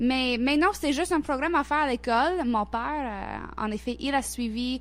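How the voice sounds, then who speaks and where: A moderate pace with an English-Canadian accent and ordinary pitch variation. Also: woman, high pitch for a woman. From Nova Scotia, Canada (Halifax). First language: English (speaking French). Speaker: intercultural organization worker. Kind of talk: radio interview. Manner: halting, many repetitions and hesitations.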